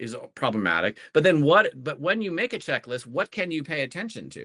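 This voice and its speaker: A man talks at a fairly quick pace with a bright, sharp tone and vocal fry. His pitch swings very widely, in a dry, close sound with no echo. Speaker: educator and learning coach. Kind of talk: conversational podcast discussion. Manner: fast; halting, many fillers and restarts.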